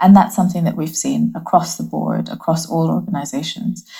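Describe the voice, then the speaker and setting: A woman speaks at a fairly quick pace and fairly low pitch, with a dark, mellow tone and vocal fry. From Bangladesh and Hong Kong. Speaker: creative strategy leader. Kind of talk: interview. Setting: home office.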